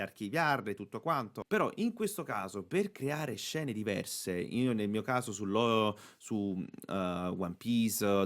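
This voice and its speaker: An ordinary speaking voice from a man, medium in pitch with ordinary pitch variation, at a moderate pace on a very clean recording with a silent background. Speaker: voice actor. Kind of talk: casual tutorial talk to camera. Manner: upbeat, chatty.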